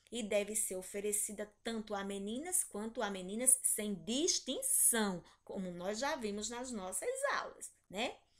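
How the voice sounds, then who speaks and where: This woman's pitch varies in an ordinary way as she talks at a fairly slow pace in a quiet setting. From Brazil. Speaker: primary school teacher. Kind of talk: online class lesson. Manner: slow, didactic.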